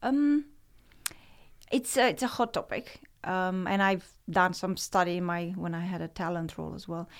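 Lively intonation and big swings in loudness mark a woman speaking at a medium pitch and moderate pace with a Romanian accent, in a very clean recording with a silent background. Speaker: author and organizational development advisor. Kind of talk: interview.

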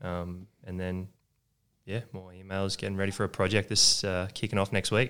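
In a very clean recording with a silent background, a man with an Australian accent speaks at a moderate pace in a very deep, low pitch and a monotone, flat intonation. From Sutherland Shire, Sydney, Australia. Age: 20s. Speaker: business owner. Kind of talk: casual interview.

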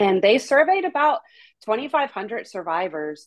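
This woman speaks in an American accent. Her voice has a dry, close sound with no echo. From North Carolina, US South. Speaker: nonprofit outreach director. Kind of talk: interview. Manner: halting, many fillers.

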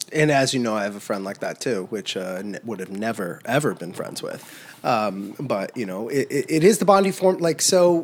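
Speaking at a fairly quick pace with an American accent, the voice moves through very wide pitch swings. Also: man. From US Midwest, central Illinois. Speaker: synthetic biologist and biotech CEO. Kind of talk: casual chat. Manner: halting, many repetitions.

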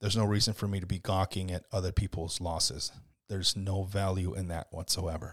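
Somewhat breathy and very deep in pitch, a man talks at a fairly quick pace with fairly even intonation, the sound dry and close with no echo on a very clean recording with a silent background. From US, Mexican-American. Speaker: local podcast host and community page publisher. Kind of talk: solo podcast monologue. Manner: casual, conversational with frequent fillers and repetitions.

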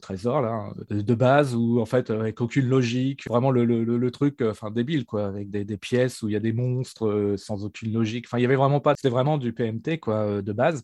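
A man's medium-pitched voice at a moderate pace, ordinary pitch variation, dry, close sound with no echo, and a quiet background. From Normandy, France (near Dieppe). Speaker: tabletop RPG designer. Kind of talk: interview. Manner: hesitant.

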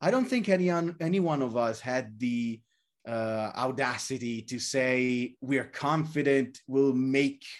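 A very slow-paced man at a medium pitch, in an Italian accent, over a quiet background. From Italy. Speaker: game story writer. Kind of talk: casual interview.

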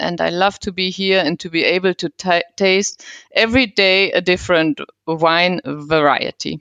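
Recorded with a dry, close sound with no echo and a quiet background, a woman in a German accent speaks at a medium pitch with ordinary pitch variation. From Germany, Cologne region. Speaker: wine business consultant. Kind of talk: interview.

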